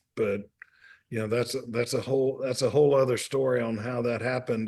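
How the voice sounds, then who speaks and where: A man with a Mississippi accent speaks at a medium pitch with fairly even intonation. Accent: Southern US (Mississippi). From US South, Mississippi. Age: 60s. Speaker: restaurant owner and author. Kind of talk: casual interview chat.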